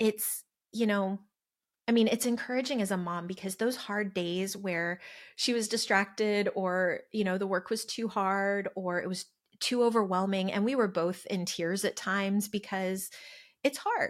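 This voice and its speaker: A woman with an American accent speaks at a moderate pace in a medium pitch, her intonation fairly even and her voice an unremarkable speaking voice, on a very clean recording with a silent background. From California. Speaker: homeschool mom. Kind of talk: casual interview.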